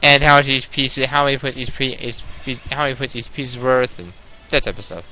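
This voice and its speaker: Over background music, a man speaks at a fairly quick pace with fairly even intonation and big swings in loudness. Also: medium pitch for a man. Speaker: gaming video creator and chess club teacher. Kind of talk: casual chat over gameplay. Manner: fast; halting, many false starts.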